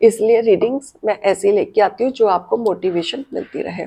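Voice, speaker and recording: A woman's fairly high voice with a dark, mellow tone, lively intonation and a very slow pace. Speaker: tarot reader and numerologist. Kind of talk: tarot reading to camera. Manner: friendly, direct address, Hindi-English mix.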